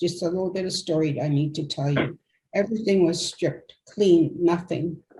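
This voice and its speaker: Speaking at a moderate pace, a woman has a fairly low pitch, a somewhat breathy quality, a dark, mellow tone and fairly even intonation. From Canada, Cree community. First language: Cree. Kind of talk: testimony.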